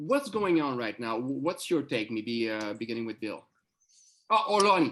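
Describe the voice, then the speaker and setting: Speaking with a French accent, a man uses a medium pitch and very wide pitch swings at a moderate pace. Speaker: podcast host. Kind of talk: interview. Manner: halting.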